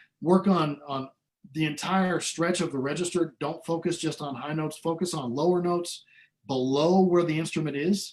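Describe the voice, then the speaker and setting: A man's plain, everyday voice with an American accent, at a moderate pace. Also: fairly high pitch for a man, fairly even intonation. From Iowa, US Midwest. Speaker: trumpet player. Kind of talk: interview. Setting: video call.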